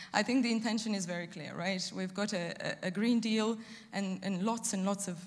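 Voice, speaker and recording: A woman's somewhat breathy voice stays flat and monotone throughout. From Romania. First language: Romanian. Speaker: EU energy policy officer. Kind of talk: panel discussion. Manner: halting, many fillers.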